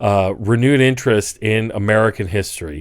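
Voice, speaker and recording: This man has an ordinary speaking voice at a medium pitch. His pitch varies in an ordinary way, and he talks at a moderate pace. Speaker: political commentator. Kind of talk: casual commentary to camera.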